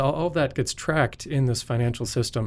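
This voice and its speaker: This man has an American accent and talks at a fairly quick pace. The recording is very clean, with a silent background. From North Dakota, US (Fargo). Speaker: software product engineer. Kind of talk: technical interview. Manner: frequent filler 'uh'.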